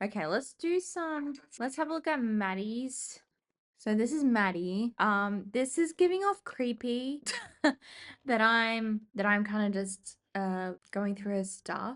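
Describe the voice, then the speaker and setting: Against a quiet background, a woman with an Australian accent speaks very slowly at a fairly high pitch with lively intonation. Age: 20s. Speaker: vlogger. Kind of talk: casual chat. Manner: casual, thinking aloud.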